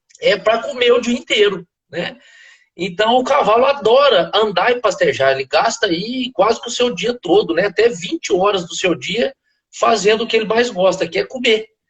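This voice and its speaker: Speaking at a moderate pace with a slight southern Minas Gerais accent, a man uses a high pitch and lively intonation. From southern Minas Gerais, Brazil. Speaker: veterinarian and animal nutrition expert. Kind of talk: interview on a live stream. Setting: live video call. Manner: hesitant, frequent filler words.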